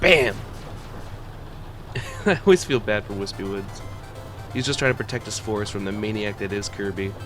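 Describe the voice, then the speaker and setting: Over music in the background, a man talks at a fairly quick pace in a fairly low voice, with fairly even intonation and long, frequent pauses. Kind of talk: ASMR roleplay, casual rant about video game lore. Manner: nervous, flustered, dorky, rambling.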